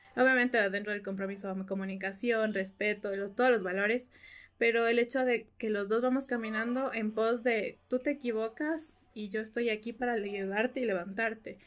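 A woman with an unremarkable speaking voice, fairly high pitch, fairly even intonation and a moderate pace. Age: 20s. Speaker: clinical psychologist. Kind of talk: casual chat.

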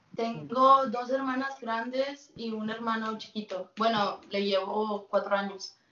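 A woman speaks at a very slow pace and a fairly high pitch, with fairly even intonation and hardly any pauses. Noticeable background noise is present. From Mexico, then US from age 8. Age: 20s. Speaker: youtuber. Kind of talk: casual chat.

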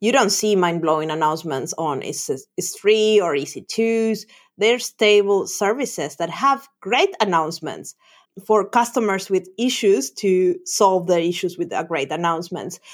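With a Spanish accent, a woman speaks at a moderate pace in a medium pitch, her intonation lively and the recording very clean with a silent background. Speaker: developer advocate. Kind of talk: casual chat.

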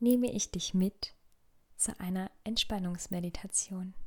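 Somewhat breathy, a woman speaks in a calm, soothing tone at a fairly slow pace. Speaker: podcast host and meditation guide. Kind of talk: guided meditation. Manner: slow, calm, soothing; soft-spoken, gentle, with long pauses.

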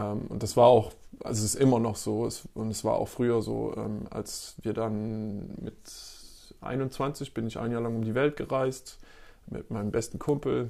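A man with a medium pitch speaks at a fairly slow pace in a dark, mellow tone. His intonation is fairly even. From East Belgium (German-speaking). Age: 30s. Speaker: photographer and filmmaker. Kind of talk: interview. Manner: hesitant with many fillers.

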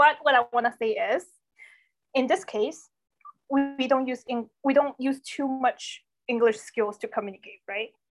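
At a moderate pace, a woman with a Chinese accent speaks at a high pitch with ordinary pitch variation. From Foshan, Guangdong, China. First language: Cantonese. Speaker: product designer. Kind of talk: casual interview. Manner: conversational, fillers.

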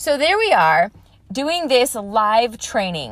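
A woman at a fairly slow pace, a plain, everyday voice. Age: 30s. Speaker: fitness trainer and podcast host. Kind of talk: personal monologue pep talk. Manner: casual, conversational with fillers.

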